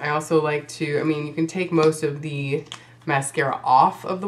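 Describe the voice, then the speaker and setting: A woman speaks in a very deep, low pitch at a fairly slow pace. Noticeable background noise runs beneath her. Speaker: beauty vlogger. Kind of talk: makeup tutorial talk to camera.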